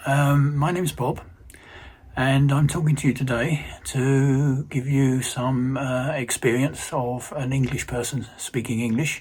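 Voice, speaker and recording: With noticeable background noise behind him, this man keeps his intonation fairly even. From London, England. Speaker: retired electrical engineer. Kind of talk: casual self-introduction for language learners. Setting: recorded video message. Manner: hesitant, many fillers.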